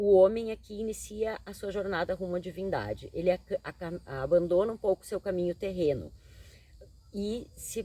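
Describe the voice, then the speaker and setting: Vocal fry runs through a woman's dark, mellow tone at a medium pitch. She keeps a moderate pace with ordinary pitch variation. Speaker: tarot reader and psychologist. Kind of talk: tarot reading monologue.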